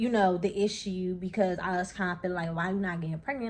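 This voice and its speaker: This woman's voice is somewhat breathy and fairly low in pitch. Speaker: vlogger. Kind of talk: casual vlog talk. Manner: fast; animated.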